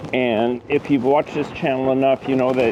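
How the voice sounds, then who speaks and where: Noticeable background noise accompanies a man speaking at medium pitch and a moderate pace. His tone is relaxed and his intonation monotone and flat. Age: 60s. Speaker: beekeeper. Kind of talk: casual tutorial. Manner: relaxed, hesitant with fillers.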